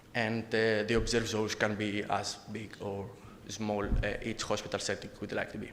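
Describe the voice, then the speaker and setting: The voice moves at a moderate pace with monotone, flat intonation, and audible room echo surrounds it. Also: man, fairly low pitch for a man. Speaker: conference presenter, researcher. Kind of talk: conference presentation and Q&A. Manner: halting, many fillers.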